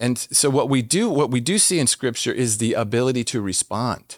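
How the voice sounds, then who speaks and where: A man with an American accent and a plain, everyday voice, medium pitch, ordinary pitch variation and a moderate pace, on a very clean recording with a silent background. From Washington, DC. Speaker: former police officer and speaker. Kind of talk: interview. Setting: studio.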